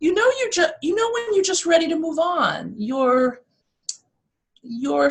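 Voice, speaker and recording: With a New York accent, a woman speaks at a moderate pace using very wide pitch swings. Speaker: motivational speaker and life coach. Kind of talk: interview. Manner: animated.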